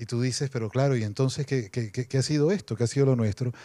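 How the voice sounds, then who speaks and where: Over a silent background in a very clean recording, a man with a medium-pitched, dark, mellow voice speaks at a fairly quick pace. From Venezuela. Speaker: novelist. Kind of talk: panel talk. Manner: animated, humorous storytelling.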